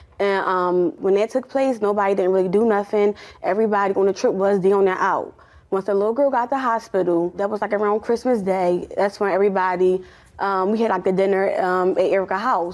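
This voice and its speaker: This woman's loudness stays very even as she talks at a fairly quick pace. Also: medium pitch for a woman. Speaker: litigant in small claims court. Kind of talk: courtroom testimony. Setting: courtroom. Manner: fast; animated.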